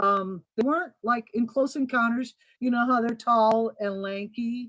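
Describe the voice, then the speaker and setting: At a fairly slow pace, a woman speaks in a normal speaking voice with ordinary pitch variation. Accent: American. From US Midwest, Kokomo, Indiana. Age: 60s. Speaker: guest sharing alien encounter story. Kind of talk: personal testimony. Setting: live-streamed video chat.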